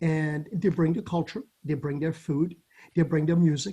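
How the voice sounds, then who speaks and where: A man with a dark, mellow tone, high pitch and a moderate pace. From Caribbean, Saint Barthélemy. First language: French. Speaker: judge. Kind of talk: interview.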